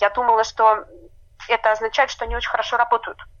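A woman's high voice, bright and sharp in tone, at a very fast pace. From Murmansk, Russian Arctic. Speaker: cosmetics brand founder. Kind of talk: interview. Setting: remote call.

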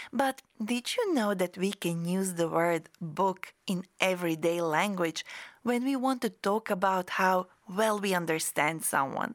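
In a very clean recording with a silent background, a woman with an ordinary speaking voice speaks fairly slowly at medium pitch, with ordinary pitch variation and very even loudness, the sound dry and close with no echo. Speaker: podcast host and English teacher. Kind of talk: scripted educational podcast. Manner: clear, slow, teaching-style.

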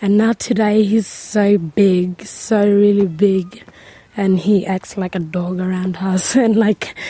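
Very slowly, a woman talks while noticeable background noise fills the recording. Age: 19. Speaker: young community member. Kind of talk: interview. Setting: outdoors on country.

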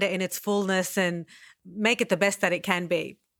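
In an Australian accent, a woman of medium pitch speaks at a moderate pace with a bright, sharp tone. The recording is very clean, with a silent background. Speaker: podcast host and writer. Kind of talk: interview.

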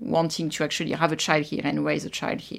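A woman speaks with a French accent. The recording is very clean, with a silent background. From France, Versailles. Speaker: immigrant sharing life story. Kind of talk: interview. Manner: halting.

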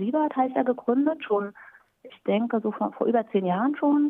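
Her intonation is lively. The woman's voice sits at a fairly high pitch. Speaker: German teacher. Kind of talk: interview.

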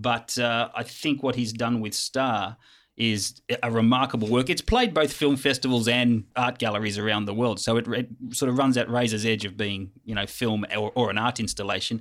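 In a very clean recording with a silent background, a man with an Australian accent speaks at a moderate pace and medium pitch with fairly even intonation. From Sydney, Australia. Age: old. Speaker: film festival program director. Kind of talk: casual chat. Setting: studio.

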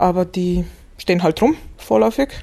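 A woman speaks at a moderate pace, her medium-pitched voice dark and mellow in tone. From Macedonia/Bulgaria (raised multilingual). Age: 40s. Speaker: literary scholar and German teacher. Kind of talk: interview. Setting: library.

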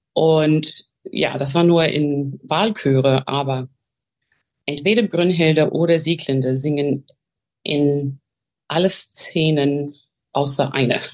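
A woman's very deep, low voice with an English accent, at a very slow pace with long, frequent pauses and ordinary pitch variation. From Australia, Melbourne. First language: English (speaking German). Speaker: opera singer. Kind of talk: interview. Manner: halting.

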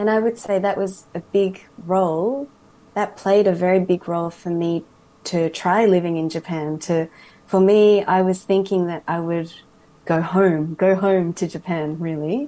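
A woman speaks at a very slow pace with a medium pitch. Her tone is dark and mellow. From Australia, raised from age 4 by Japanese family. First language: English (speaking Japanese). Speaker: mental health entrepreneur. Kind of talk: radio interview. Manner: halting, many fillers in Japanese.

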